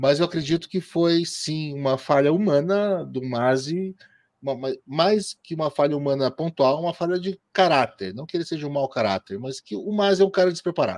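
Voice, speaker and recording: A man with a normal speaking voice, fairly high in pitch, with lively intonation at a moderate pace and a dry, close sound with no echo. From Brazil, interior of Paraná. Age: 40s. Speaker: motorsport podcaster and columnist. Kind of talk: interview.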